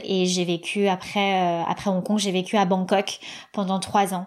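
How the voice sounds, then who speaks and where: A woman speaks at a medium pitch. Her delivery is very slow and monotone, with flat intonation. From Paris suburbs, France (Seine-Saint-Denis). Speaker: podcaster and media creator. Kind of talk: interview. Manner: halting, many fillers and repetitions.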